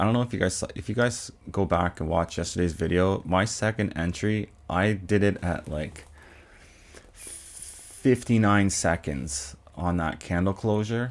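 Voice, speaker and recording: A man's very deep, low voice moves with ordinary pitch variation. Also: fairly slow pace. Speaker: day trader streaming trades. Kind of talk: live trading commentary. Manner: casual, chatty.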